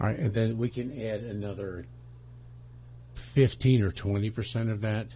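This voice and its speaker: Somewhat breathy and fairly low in pitch, a man speaks with lively intonation. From US. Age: 60s. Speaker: political commentator. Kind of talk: political rant. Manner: animated; halting.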